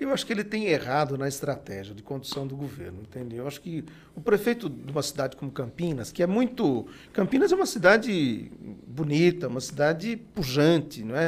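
A man speaks in a fairly high, somewhat breathy voice. His pitch swings very widely and his loudness shifts a lot. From Bahia, Brazilian Northeast. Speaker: city councillor. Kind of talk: podcast interview. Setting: studio with cameras.

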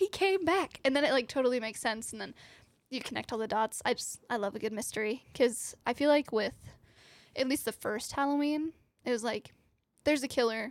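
A high-pitched woman's voice in an American accent, fairly quick, with ordinary pitch variation, on a very clean recording with a silent background. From US South. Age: 20s.

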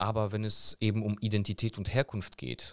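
The recording is very clean with a silent background. A man talks in a normal speaking voice at a fairly low pitch. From Germany (born in Poland, moved at about four). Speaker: German teacher. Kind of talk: interview.

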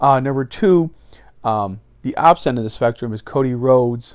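A man's medium-pitched voice in a very clean recording with a silent background. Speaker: fantasy wrestling podcast host. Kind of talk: solo podcast commentary. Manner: fast.

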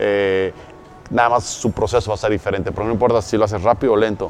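A man at a very fast pace, fairly low in pitch, with ordinary pitch variation and noticeable background noise. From Mexico City. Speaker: network marketing entrepreneur. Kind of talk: interview.

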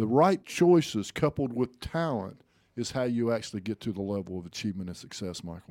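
A man talks at a fairly quick pace and medium pitch, with an unremarkable speaking voice. The sound is dry and close with no echo, a very clean recording with a silent background. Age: 50s. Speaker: motivational speaker and podcast co-host. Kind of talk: casual chat.

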